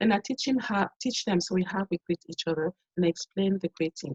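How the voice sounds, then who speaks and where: A woman in a French accent talks at a fairly quick pace, somewhat breathy and medium in pitch, with a dry, close sound and no echo. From Cameroon. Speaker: performer and community teacher. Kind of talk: webinar presentation. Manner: repetitive false starts.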